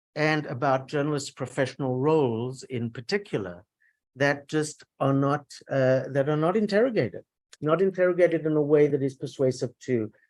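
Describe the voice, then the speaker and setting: There is ordinary pitch variation as a man with a fairly high voice speaks at a moderate pace. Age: 60s. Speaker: journalism professor and author. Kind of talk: conference talk. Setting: academic conference with audience. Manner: halting, many repetitions and fillers.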